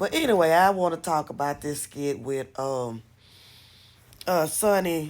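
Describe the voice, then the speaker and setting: At a fairly slow pace, a woman speaks in an animated tone. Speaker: commentary vlogger. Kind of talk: casual commentary.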